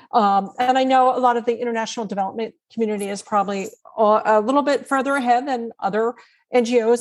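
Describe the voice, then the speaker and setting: Against a quiet background, a woman has a normal speaking voice, fairly high pitch, ordinary pitch variation and a moderate pace. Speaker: author and nonprofit technology trainer. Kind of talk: interview.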